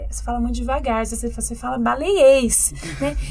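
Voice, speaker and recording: Audible room echo and noticeable background noise accompany a woman talking at a fairly quick pace. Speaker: podcast co-host. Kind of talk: podcast conversation.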